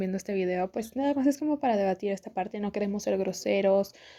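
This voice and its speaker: Very fast speech with a dark, mellow tone and ordinary pitch variation. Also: woman. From Mexico. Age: 20s. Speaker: podcast host. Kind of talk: casual talk to camera.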